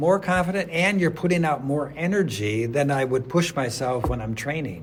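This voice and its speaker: A man speaks at a moderate pace with a fairly high pitch and lively intonation. Noticeable background noise runs underneath. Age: 80s+. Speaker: adjunct math professor and masters track athlete. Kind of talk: interview answer.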